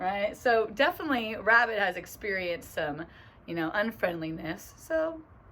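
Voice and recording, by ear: Intonation is lively as the speaker is reading aloud in a natural voice.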